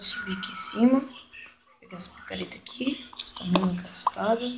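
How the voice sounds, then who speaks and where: Over noticeable background noise, a woman talks at a moderate pace. Her loudness swings widely. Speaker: gaming youtuber. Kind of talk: gameplay commentary. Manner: casual, chatty. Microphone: voice too quiet.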